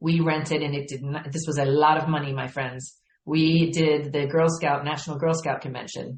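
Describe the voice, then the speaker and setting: Speaking at a moderate pace with hardly any pauses, a woman with a very deep, low pitch sounds somewhat breathy and keeps a monotone, flat intonation. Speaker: marketing and sales director, podcast guest. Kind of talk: casual interview.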